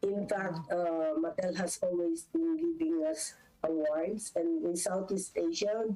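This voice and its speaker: A woman with a Filipino accent talks at a fairly slow pace in a fairly low voice, her intonation fairly even. Her loudness stays very even over noticeable background noise. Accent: Filipino English, Taglish code-switching. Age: 70s. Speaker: business executive. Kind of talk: interview.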